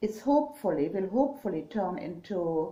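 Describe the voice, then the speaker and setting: Speaking at a very slow pace in a strong German accent, a woman with a medium pitch and a dark, mellow tone swings her pitch very widely, with audible room echo. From Germany. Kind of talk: casual vlog talk. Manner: halting, many fillers.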